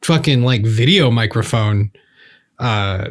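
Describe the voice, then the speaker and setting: On a very clean recording with a silent background, a man speaks at a fairly slow pace in a somewhat breathy voice. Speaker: gaming podcast host and singer. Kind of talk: casual chat. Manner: casual, swears often. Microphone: new Rode video microphone.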